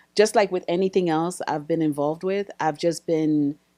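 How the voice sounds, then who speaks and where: A woman's very deep, low voice with a dark, mellow tone, ordinary pitch variation and a moderate pace, dry and close with no echo on a very clean recording with a silent background. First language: not English. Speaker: wig business owner and business coach. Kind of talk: casual podcast conversation.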